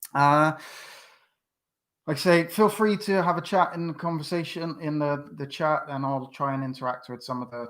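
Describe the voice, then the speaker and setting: Here a man talks in a West Country accent at a moderate pace. His pitch is fairly high and varies in an ordinary way. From West Country, England (Bristol). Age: 40s. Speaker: YouTube fan channel host. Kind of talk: live stream quiz chat. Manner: hesitant, many fillers.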